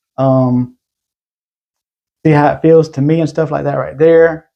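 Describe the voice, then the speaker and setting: In an unremarkable speaking voice, a man talks at a fairly quick pace with a fairly high pitch and ordinary pitch variation. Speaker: gun collector YouTuber. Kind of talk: casual show-and-tell video.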